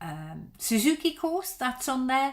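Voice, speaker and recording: On a very clean recording with a silent background, a woman speaks with a Dutch accent. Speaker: violin teacher. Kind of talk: live stream Q&A. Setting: live broadcast. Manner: halting, many fillers.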